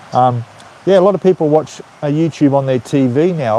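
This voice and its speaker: A man with a strong Australian accent speaks with lively intonation. Background noise is noticeable. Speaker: YouTuber, retiree in Thailand. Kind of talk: casual live stream chat. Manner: casual, with frequent fillers and repetitions.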